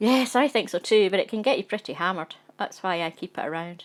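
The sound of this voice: Unforced reading voice.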